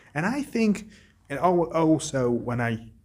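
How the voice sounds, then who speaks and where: A man speaks with an Arabic accent. His voice is somewhat breathy. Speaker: book vlogger. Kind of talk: casual monologue. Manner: halting.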